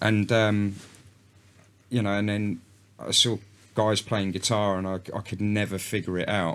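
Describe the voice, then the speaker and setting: The recording is very clean, with a silent background. A man speaks at a fairly low pitch in a flat monotone at a moderate pace, with long, frequent pauses. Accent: London. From North London, England. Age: 30s. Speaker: country musician. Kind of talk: casual chat.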